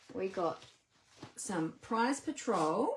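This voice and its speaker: A woman with an Australian accent. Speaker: papercraft demonstrator. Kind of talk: casual live stream talk to camera.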